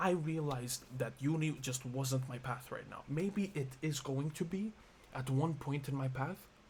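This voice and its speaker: A man with a fairly high voice speaks at a fairly slow pace, somewhat breathy, with ordinary pitch variation. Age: 20s. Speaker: vlogger. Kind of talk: emotional monologue vlog. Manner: halting.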